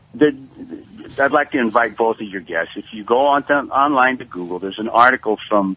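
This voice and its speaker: A man's plain, everyday voice, medium in pitch, with ordinary pitch variation, a fairly quick pace, hardly any pauses and big swings in loudness. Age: 60s. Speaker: history teacher, caller. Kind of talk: radio call-in.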